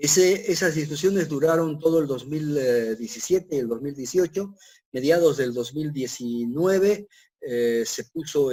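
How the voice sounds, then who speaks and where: A man with a dark, mellow tone and fairly high pitch speaks at a fairly slow pace, his intonation lively and his loudness swinging widely. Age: 60s. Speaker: civil engineer. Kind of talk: lecture. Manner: halting, many fillers.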